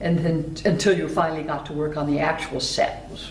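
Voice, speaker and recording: A woman's moderately paced speech is accompanied by noticeable background noise. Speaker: actress. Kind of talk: interview answer.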